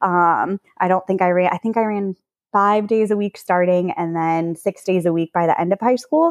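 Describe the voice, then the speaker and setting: At a moderate pace, a woman talks in an ordinary speaking voice at a medium pitch. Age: 30s. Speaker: professional runner. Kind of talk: casual chat.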